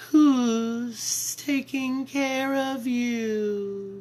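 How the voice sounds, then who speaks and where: A put-on character voice, female-sounding and pitched high for a woman. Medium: read story. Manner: sweet, coaxing, falsely motherly.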